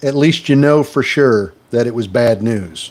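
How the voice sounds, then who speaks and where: Speaking fairly slowly, a man talks with an American accent. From US Midwest, Wisconsin. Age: 60s. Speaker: stock trading livestreamer. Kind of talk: live stream chat.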